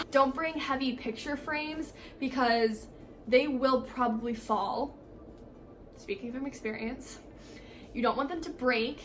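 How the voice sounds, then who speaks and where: A woman speaks at a high pitch with ordinary pitch variation, leaving long, frequent pauses. Audible room echo and noticeable background noise surround her voice. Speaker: college student vlogger. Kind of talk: casual vlog tutorial. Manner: fast; filler words, casual.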